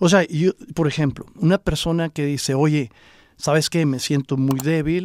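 In an ordinary speaking voice, a man with a fairly high pitch talks at a fairly slow pace, the sound dry and close with no echo. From Mexico, Coahuila (Acuña). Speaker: entrepreneur, juice bar franchise owner. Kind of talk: interview, casual chat.

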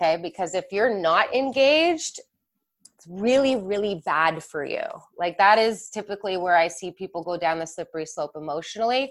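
An ordinary speaking voice from a woman, medium in pitch, with a Canadian accent, lively intonation and big swings in loudness. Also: moderate pace. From Canada, Mississauga, Ontario. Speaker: mindset and leadership coach. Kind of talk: live webinar interview. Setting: live online webinar.

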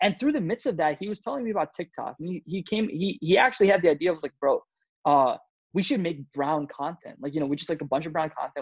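Speaking very fast with an American accent, a man uses a high voice and lively intonation. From Michigan, US Midwest (also Iowa and Amsterdam). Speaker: TikTok creator and actor. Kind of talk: casual chat. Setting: video call.

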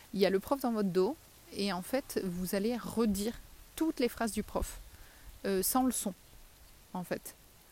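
The voice belongs to a woman, pitched in the middle range. It has a dark, mellow tone. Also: long, frequent pauses. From southern France. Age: 30s. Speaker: podcaster, teacher of deaf children. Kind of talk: casual monologue. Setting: outdoors, in a tree.

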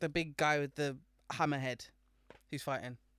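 A woman with a British accent. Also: very clean recording, silent background. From Britain. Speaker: podcast co-host. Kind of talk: casual chat.

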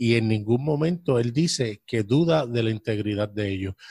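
A man speaks at a medium pitch with a dark, mellow tone and ordinary pitch variation. His voice is somewhat breathy. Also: dry, close sound with no echo. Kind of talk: casual religious discussion.

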